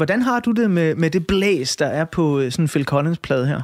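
A man's normal speaking voice, fairly high in pitch, at a moderate pace. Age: 40s. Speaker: radio host. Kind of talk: interview.

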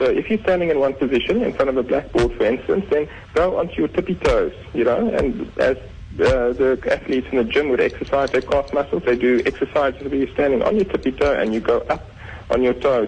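This man's loudness stays very even as he talks at a fairly quick pace. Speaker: surgeon. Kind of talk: radio interview.

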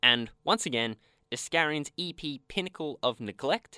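A man at a moderate pace, bright and sharp in tone with lively intonation, in a very clean recording with a silent background and a dry, close sound with no echo. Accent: Australian. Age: young. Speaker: podcast host. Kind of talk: casual chat. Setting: studio.

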